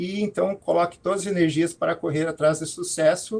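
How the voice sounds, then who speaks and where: High-pitched male speech with fairly even intonation. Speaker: professor. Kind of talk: talk to students in an online alumni event. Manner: halting, many fillers.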